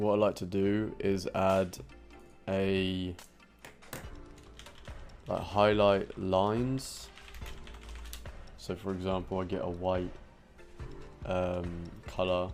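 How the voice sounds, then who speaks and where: With music in the background, a man with a very deep, low pitch speaks very slowly and with fairly even intonation, leaving long, frequent pauses. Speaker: digital art tutorial maker. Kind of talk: screen-recorded tutorial narration. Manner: casual, hesitant.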